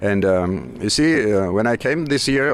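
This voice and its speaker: The speaker has a Georgian accent and lively intonation, with noticeable background noise behind the voice. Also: man. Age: 50s. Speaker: musician and aspiring winemaker. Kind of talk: interview. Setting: wine festival. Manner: halting.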